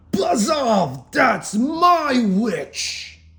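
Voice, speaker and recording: The put-on character voice is fairly high, shrill and croaky, with a growling edge. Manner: fierce, commanding.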